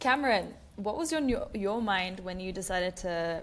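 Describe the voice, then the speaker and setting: A woman in an Australian accent, medium in pitch with ordinary variation, at a moderate pace, with audible room echo. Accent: Australian, put on over Kiwi. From New Zealand. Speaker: podcast host. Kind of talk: podcast interview.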